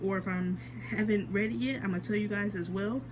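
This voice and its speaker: A woman speaks fairly quickly, her voice carrying audible room echo and noticeable background noise. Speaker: manga collector vlogger. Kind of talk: casual collection show-and-tell vlog. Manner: hesitant, many fillers and self-corrections.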